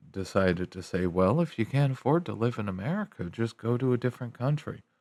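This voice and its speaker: The man's pitch sits in the medium range, and his intonation is lively. Behind him is a silent background on a very clean recording. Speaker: commentator. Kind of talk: casual rant. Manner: slow, drawn-out.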